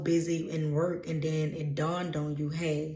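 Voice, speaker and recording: A woman's very deep, low voice in a Louisiana accent, monotone and flat in intonation, with audible room echo. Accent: Louisiana Southern US. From US South, Louisiana. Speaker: intuitive spiritual reader. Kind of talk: casual channeled message reading. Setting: reading notes from a laptop.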